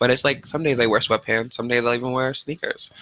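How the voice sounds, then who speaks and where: A man speaks softly at medium pitch, his tone bright and sharp. His intonation is fairly even, and the sound is dry and close with no echo. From New Hampshire. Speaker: comedy show auditioner. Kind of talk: casual chat. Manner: soft-spoken.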